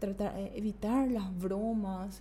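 A fairly slow pace with audible room echo. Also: woman. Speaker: women's rights advocate. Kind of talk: interview conversation. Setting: studio.

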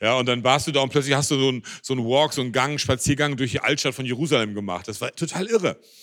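Talking at a very fast pace with hardly any pauses, a man with a medium-pitched voice sounds animated, his pitch varying in an ordinary way. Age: 50s. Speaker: pastor. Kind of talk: sermon.

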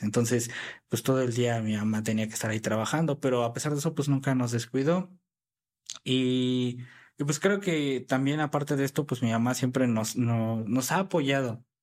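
A man's medium-pitched, plain, everyday voice, a plain, everyday voice, in a very clean recording with a silent background. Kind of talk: casual interview.

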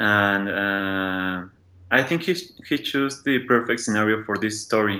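On a very clean recording with a silent background, a man with a Spanish accent speaks at a fairly slow pace in a fairly low pitch with a bright, sharp tone and ordinary pitch variation. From Mexico City. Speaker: podcast listener guest. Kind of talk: casual chat.

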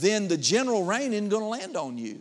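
This man's high-pitched voice swings very widely in pitch. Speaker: pastor. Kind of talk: sermon. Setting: church. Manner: animated; fervent preacher in full flow, building with call-and-response.

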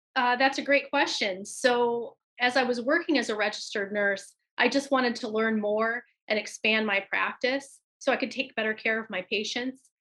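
A woman's high, bright, sharp voice with an American accent and fairly even intonation. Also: moderate pace. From US, Michigan. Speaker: nurse practitioner and nursing educator. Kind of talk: interview.

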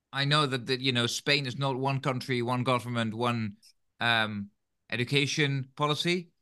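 A man speaks with a Dutch accent at a fairly slow pace. His tone is bright and sharp, his intonation fairly even, and the background quiet. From Netherlands. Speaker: podcast host, teacher trainer. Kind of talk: interview conversation; scripted outro.

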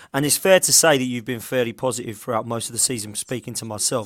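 Speaking very fast, a man at a medium pitch uses ordinary pitch variation. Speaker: show host. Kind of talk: casual football chat show. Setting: online video show.

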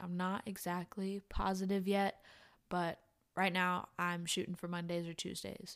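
A woman with a normal speaking voice, medium pitch, fairly even intonation, and a moderate pace on a very clean recording with a silent background. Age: 20s. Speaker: podcast host and college student. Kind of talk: solo podcast monologue.

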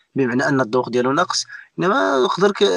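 The man's voice is fairly high and very fast. The sound is dry and close, with no echo. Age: 20s. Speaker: Amazigh musician. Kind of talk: casual interview.

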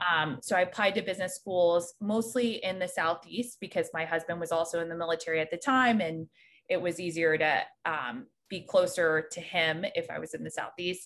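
A woman with an American accent and a plain, everyday voice, fairly low in pitch, at a moderate pace with ordinary pitch variation against a quiet background. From North Carolina, near Raleigh. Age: 30s. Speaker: private banker, army veteran. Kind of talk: casual interview.

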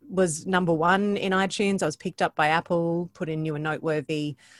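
A woman with an Australian accent in a dry, close sound with no echo, on a very clean recording with a silent background. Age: 40s. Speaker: podcaster and voice coach. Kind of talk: interview conversation.

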